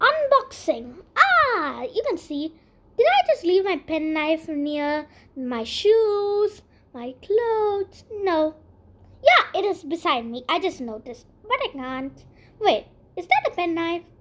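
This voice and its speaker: A woman puts on a character voice pitched extremely high. It swings very widely in pitch at a fairly slow pace. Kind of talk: comic overacting. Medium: voice reel. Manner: chatty, addresses viewers directly.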